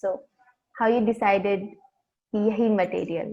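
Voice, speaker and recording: A woman's unremarkable speaking voice, medium in pitch, with fairly even intonation. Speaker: non-profit education worker. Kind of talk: interviewer questions, Hindi-English mix.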